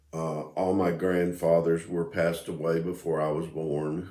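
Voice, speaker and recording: In a room with audible echo, a man with a very deep, low pitch talks at a moderate pace in a dark, mellow, relaxed tone with fairly even intonation. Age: 60s. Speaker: video blogger. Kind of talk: casual monologue. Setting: home music room. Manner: relaxed, hesitant with fillers.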